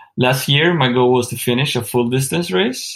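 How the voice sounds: A man talks with vocal fry and a slightly husky edge. His tone is fairly bright. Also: medium pitch for a man, ordinary pitch variation, moderate pace.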